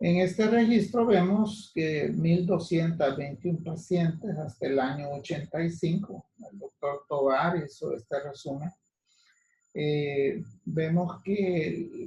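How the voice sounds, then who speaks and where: Pitched high, a man speaks at a very slow pace in a dark, mellow tone. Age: 60s. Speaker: physician lecturer. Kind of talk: lecture. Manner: halting.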